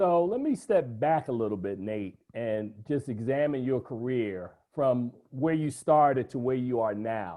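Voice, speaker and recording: A man talks at a fairly slow pace with lively intonation. He has an unremarkable speaking voice. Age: 50s. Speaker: entertainment journalist. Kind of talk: interview.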